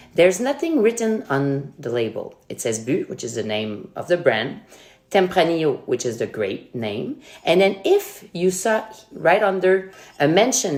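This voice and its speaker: A woman with a Quebec accent and a fairly low pitch, her voice swinging very widely in pitch. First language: French. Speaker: sommelier. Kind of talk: tutorial; casual chat. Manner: animated.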